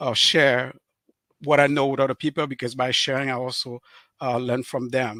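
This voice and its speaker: In a Cameroonian French accent, a man at medium pitch speaks at a moderate pace with a bright, sharp tone and monotone, flat intonation, the sound dry and close with no echo on a very clean recording with a silent background. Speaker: author and relationship speaker. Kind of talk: interview on live stream. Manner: halting, many fillers.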